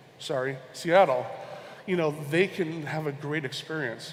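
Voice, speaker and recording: A man's fairly high voice with audible room echo and noticeable background noise. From Hawaii, Honolulu. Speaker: conference speaker, e-commerce researcher. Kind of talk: conference talk. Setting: stage with audience.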